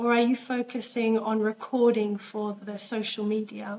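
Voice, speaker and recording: Speaking at a fairly slow pace, a woman talks in an Australian accent. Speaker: interviewer. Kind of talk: interview.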